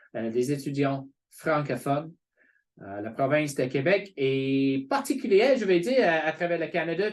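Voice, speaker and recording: With an English accent, a man speaks fairly slowly in a fairly high pitch and lively intonation against a quiet background. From England. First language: English (speaking French). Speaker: college representative. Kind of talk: informational webinar presentation. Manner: hesitant, many fillers.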